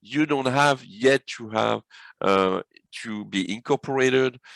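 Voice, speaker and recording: A man speaks with a French accent at a medium pitch. His bright, sharp tone comes through dry and close, with no echo. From France. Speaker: business consultant. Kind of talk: webinar presentation.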